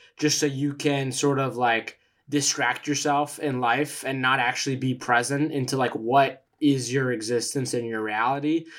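The speaker talks at a moderate pace with hardly any pauses. The intonation is monotone and flat. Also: man, medium pitch for a man. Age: 20s. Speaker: podcast guest. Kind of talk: casual chat.

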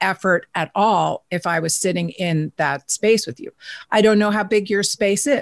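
Vocal fry marks a voice with an American accent, heard at a moderate pace over a quiet background. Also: woman, medium pitch for a woman, ordinary pitch variation. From New York. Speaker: author and virtual work expert. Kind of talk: interview.

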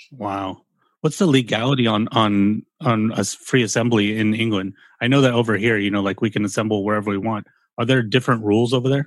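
With an American accent, a man uses an ordinary speaking voice at a medium pitch, talking at a fairly quick pace with fairly even intonation in a very clean recording with a silent background. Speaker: podcast host. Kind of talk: casual chat.

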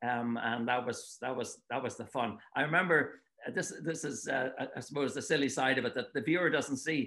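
A man speaks in a Dublin accent at a fairly quick pace, his tone bright and sharp. His pitch is medium with ordinary variation, against a quiet background. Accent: Irish (Dublin). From Ireland, Dublin. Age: 70s. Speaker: author and retired water-ski commentator. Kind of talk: casual interview. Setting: remote call from home.

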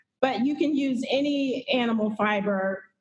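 Someone speaks with an American accent and ordinary pitch variation. Audible room echo surrounds the voice. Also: woman. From Houston, Texas. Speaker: fiber artist. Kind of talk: interview. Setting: video call from a gallery. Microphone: echo, hollow sound from large gallery.

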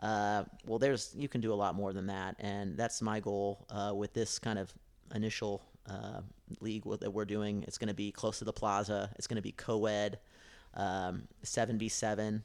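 A man's fairly low, flat monotone in a Midwestern American accent at a moderate pace, on a very clean recording with a silent background. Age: 30s. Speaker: soccer podcast co-host. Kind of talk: casual chat.

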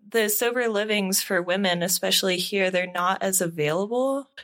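A woman with a plain, everyday voice, medium pitch, lively intonation and a moderate pace. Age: 30s. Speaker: podcast co-host. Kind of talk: casual chat; scripted narration.

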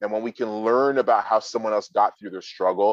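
In an unremarkable speaking voice, a man with a fairly low pitch talks with fairly even intonation in a dry, close sound with no echo. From Canada (Toronto). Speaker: motivational speaker and coach. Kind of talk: interview.

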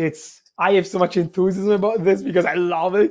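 Against a quiet background, a man speaks with an Italian accent. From Italy. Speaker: learning techniques instructor. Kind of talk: interview.

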